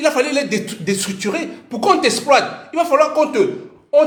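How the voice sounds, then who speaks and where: An animated man with a Cameroonian accent and lively intonation, amid noticeable background noise and audible room echo. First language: Bassa (speaking French). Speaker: parent and commentator. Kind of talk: casual monologue. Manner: halting.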